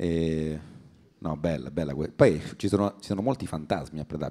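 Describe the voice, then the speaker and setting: A man speaks at a moderate pace in a very deep, low voice. His tone is dark and mellow, and his intonation fairly even. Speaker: comedian co-host. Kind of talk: casual chat.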